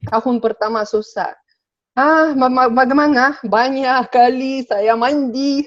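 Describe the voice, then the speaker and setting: A woman speaks at a high pitch with a Sabah accent. Her intonation is fairly even and her pace very slow. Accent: Sabah Malay. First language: Russian (speaking Indonesian). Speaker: interview guest. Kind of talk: casual interview. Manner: halting, many fillers.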